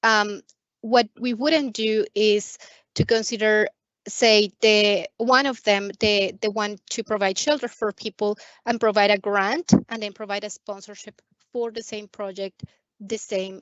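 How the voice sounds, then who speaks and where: A woman with a plain, everyday voice, fairly high pitch, fairly even intonation and a fairly slow pace. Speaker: credit union staff presenter. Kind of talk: webinar Q&A. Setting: video call.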